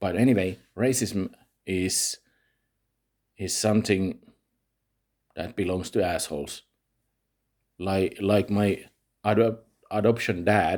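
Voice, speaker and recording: A man with a Finnish accent talks at a very slow pace in a fairly low pitch, with fairly even intonation and long, frequent pauses. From Finland. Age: 40s. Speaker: vlogger. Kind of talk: personal monologue vlog. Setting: home recording at night. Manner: halting, many fillers.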